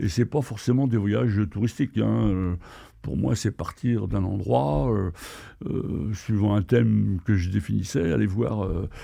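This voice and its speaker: A man speaks at a very deep, low pitch with a dark, mellow tone and very wide pitch swings. The pace is fairly slow against a quiet background. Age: 70s. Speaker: retired traveller and adventurer. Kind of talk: podcast interview. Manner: hesitant, many fillers.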